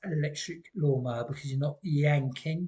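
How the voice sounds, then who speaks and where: In a British accent, a man with a dark, mellow tone talks at a moderate pace with ordinary pitch variation. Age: 60s. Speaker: vlogger. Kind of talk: personal testimony vlog. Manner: hesitant, many ums.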